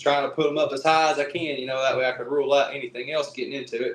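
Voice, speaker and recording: A man speaks in an Appalachian accent. His voice sits fairly high in pitch. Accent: Southern US (Appalachian). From East Tennessee. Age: 20s. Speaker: Bigfoot researcher and lineman. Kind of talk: casual interview storytelling.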